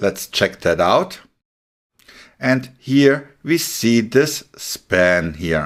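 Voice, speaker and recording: With a German accent, a man of medium pitch speaks at a very slow pace using lively intonation. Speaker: web development instructor. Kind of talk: tutorial. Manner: casual.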